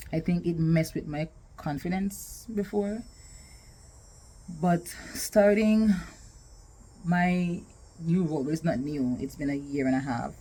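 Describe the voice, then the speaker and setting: Her voice somewhat breathy and dark and mellow in tone, a woman speaks at a fairly low pitch with ordinary pitch variation and long, frequent pauses. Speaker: vlogger and podcaster. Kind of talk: casual talk to camera.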